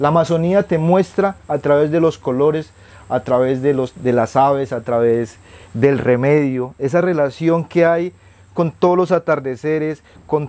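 Over a quiet background, a man with a fairly high pitch and a dark, mellow tone shows ordinary pitch variation. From Colombian Amazon, Putumayo. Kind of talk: interview, life story.

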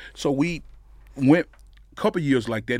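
This man has a medium pitch, a moderate pace, lively intonation and some vocal fry. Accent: Mississippi. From Mississippi, US South. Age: 40s. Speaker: pitmaster and pastor. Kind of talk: casual interview.

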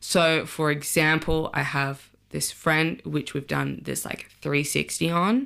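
In an Australian accent, a woman speaks at a very deep, low pitch. The recording is very clean, the background silent. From Sydney, Australia. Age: 30s. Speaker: journalist. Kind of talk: casual chat.

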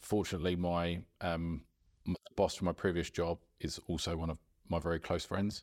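A man in a southern English accent, very deep and low in pitch, flat and monotone at a moderate pace with long, frequent pauses, in a very clean, dry, close recording with a silent background and no echo. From Surrey, southern England. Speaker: amateur golfer. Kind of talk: casual chat. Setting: golf club.

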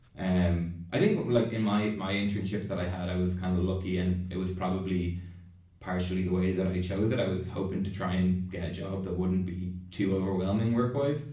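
A man speaks in a very deep, low voice with an Irish accent and fairly even intonation. Room echo is audible, and there is noticeable background noise. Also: moderate pace. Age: 20s. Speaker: junior doctor in psychiatry. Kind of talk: casual interview. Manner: halting.

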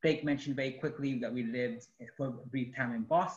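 A speaker with a Spanish accent talks at a fairly quick pace. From Mexico. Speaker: artist and activist. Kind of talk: interview.

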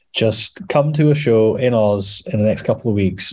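The speaker has a Scottish accent against a quiet background. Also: man. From Scotland, Edinburgh. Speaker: metal musician. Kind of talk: casual interview.

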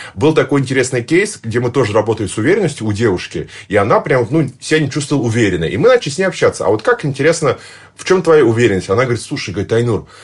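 Against a quiet background, a man talks very fast at medium pitch, somewhat breathy and with lively intonation. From Tatarstan, Russia (Nizhnekamsk). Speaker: public speaking coach. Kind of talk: casual interview.

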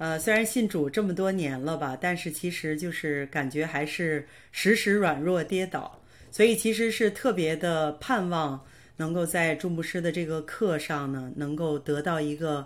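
An unremarkable speaking voice from a woman, fairly low in pitch with ordinary pitch variation, at a fairly slow pace in a very clean recording with a silent background. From northern China (Hebei, Baoding). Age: 40s. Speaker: nurse and online course student. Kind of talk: interview testimony.

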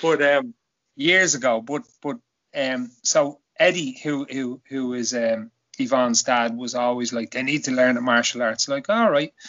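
With a Dublin accent, a man speaks at a fairly slow pace in a medium pitch with ordinary pitch variation. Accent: Dublin Irish. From Ireland, Dublin (Kilbarrick). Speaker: podcaster and jiu-jitsu practitioner. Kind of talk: casual chat.

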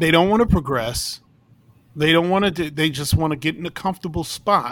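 Ordinary pitch variation marks this speaker with an American accent, on a very clean recording with a silent background. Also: man. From New York City. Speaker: circus ringmaster and performer. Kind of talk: casual interview chat.

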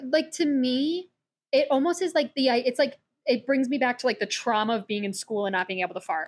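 A woman's high-pitched voice with lively intonation at a fairly quick pace, in a very clean recording against a silent background. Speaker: photographer and co-host. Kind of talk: casual chat. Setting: home recording. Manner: laid back.

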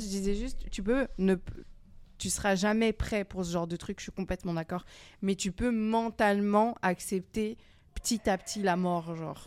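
A woman speaks in a normal speaking voice at a medium pitch with fairly even intonation. The recording is very clean, with a silent background. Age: 20s. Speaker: youth centre podcast participant. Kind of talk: casual discussion.

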